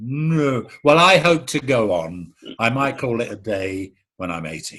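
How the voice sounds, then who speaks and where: A man with a Cockney accent, medium pitch and a bright, sharp tone, very wide pitch swings and a fairly slow pace. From London East End. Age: 70s. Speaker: actor. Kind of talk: interview.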